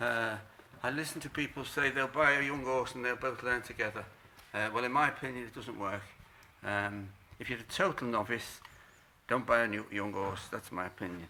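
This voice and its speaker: Delivered at a moderate pace with ordinary pitch variation, this bright, sharp voice breaks up its speech with long, frequent pauses. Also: man, medium pitch for a man. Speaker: horse trainer. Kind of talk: tutorial. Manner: halting, many fillers.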